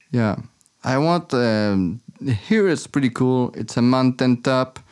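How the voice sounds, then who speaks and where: Speaking at a fairly slow pace, a man with a French Canadian accent uses lively intonation at a medium pitch. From Quebec City, Canada. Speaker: filmmaker living off the grid. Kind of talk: interview. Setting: remote call. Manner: halting.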